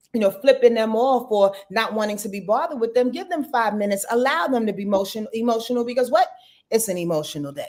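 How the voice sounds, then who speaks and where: A woman's fairly high, animated voice at a very fast pace with lively intonation. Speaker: astrologer. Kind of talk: casual chat.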